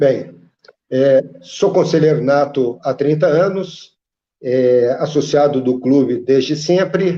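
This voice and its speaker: A man with a dark, mellow tone and a fairly high pitch talks very slowly, his loudness very even and his pitch varying in an ordinary way. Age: 50s. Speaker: football club council member. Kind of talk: debate. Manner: halting.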